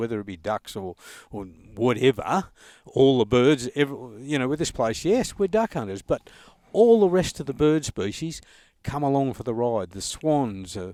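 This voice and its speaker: A man with an Australian accent speaks at a moderate pace and a medium pitch, with very wide pitch swings and big swings in loudness. The sound is dry and close with no echo, on a very clean recording with a silent background. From Australia, Sale, eastern Victoria. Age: 70s. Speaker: duck hunter and conservationist. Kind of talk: casual interview. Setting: outdoors in the bush.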